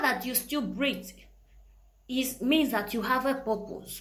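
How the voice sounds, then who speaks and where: A woman's raised, projected voice, high in pitch, with lively intonation at a fairly slow pace, plus audible room echo and noticeable background noise. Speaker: motivational podcast host. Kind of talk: motivational talk.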